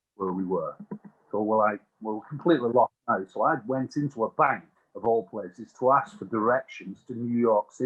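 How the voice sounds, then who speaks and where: The speaker moves at a moderate pace with ordinary pitch variation, in an English accent. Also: man, medium pitch for a man. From England. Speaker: utility industry executive. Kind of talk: podcast interview, storytelling.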